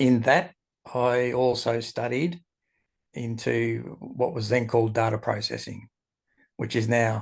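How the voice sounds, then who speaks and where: A man with an Australian accent talks at a fairly slow pace and medium pitch. The background is quiet. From Australia, Melbourne. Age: 60s. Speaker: entrepreneur and esoteric writer. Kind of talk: interview.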